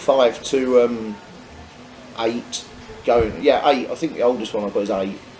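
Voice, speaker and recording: With noticeable background noise behind him, a medium-pitched man with a Norfolk accent speaks at a fairly slow pace, with fairly even intonation and long, frequent pauses. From Norfolk, England. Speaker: English teacher, travel vlogger. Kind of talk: casual chat. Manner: halting, repetitive.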